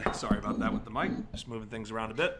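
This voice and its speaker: A man with an American accent is heard amid noticeable background noise and audible room echo. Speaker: camera operator filling in on commentary. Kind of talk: live sports commentary.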